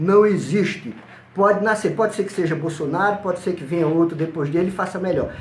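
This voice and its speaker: A man with a high pitch is heard with audible room echo. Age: 60s. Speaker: pastor. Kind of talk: interview.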